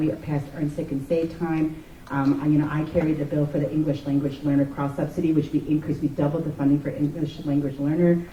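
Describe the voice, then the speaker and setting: Noticeable background noise fills the recording. The words come at a fairly quick pace. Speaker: state legislator. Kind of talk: panel speech. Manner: fast.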